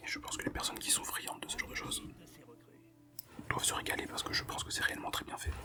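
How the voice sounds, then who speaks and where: A man whispers at a very fast pace with long, frequent pauses over noticeable background noise. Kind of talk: ASMR book talk to camera. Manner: casual, hesitant, conversational; whispered, soft-spoken.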